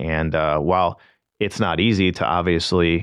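A man's very deep, low voice with an American accent, fairly even intonation and a moderate pace. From St. Louis area, Missouri. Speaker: marketing manager, former pit crew member. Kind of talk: casual interview. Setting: radio studio.

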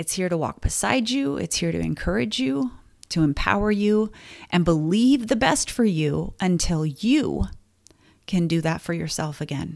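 A woman with a fairly low voice speaks at a moderate pace with very wide pitch swings, on a very clean recording with a silent background. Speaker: podcast host. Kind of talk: supportive podcast talk. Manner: conversational, with fillers; emotional, gets choked up.

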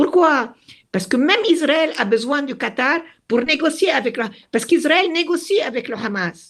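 With vocal fry in her voice, a woman talks at a fairly slow pace. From Lebanon, Beirut. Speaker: retired diplomat. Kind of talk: interview.

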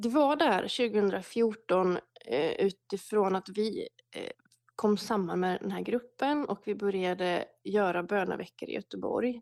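Speaking at a very slow pace, a woman uses medium pitch and ordinary pitch variation, and the sound is dry and close with no echo. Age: 30s. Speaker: prayer movement leader. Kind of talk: casual interview. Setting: remote call from home.

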